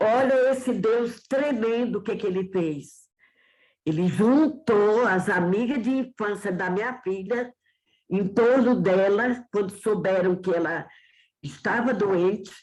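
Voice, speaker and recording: A woman talks at a very slow pace, her medium-pitched voice showing ordinary pitch variation. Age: 70s. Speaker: church member sharing testimony. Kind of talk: testimony.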